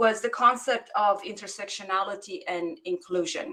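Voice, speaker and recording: A woman's bright, sharp tone with a non-native accent. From immigrant, outside English-speaking world. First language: not English. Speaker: academic researcher. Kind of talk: panel discussion question. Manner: halting, many repetitions.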